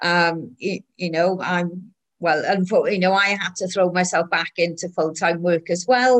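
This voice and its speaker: With a Welsh accent, a woman talks at a fairly slow pace, her medium pitch held in fairly even intonation. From Wales. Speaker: film network founder. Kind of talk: casual interview.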